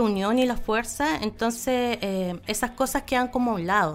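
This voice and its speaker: A woman with an ordinary speaking voice, fairly high in pitch with ordinary pitch variation, at a moderate pace. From Chile, Aysén region (Coyhaique). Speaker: local council candidate and environmental activist. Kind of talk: interview.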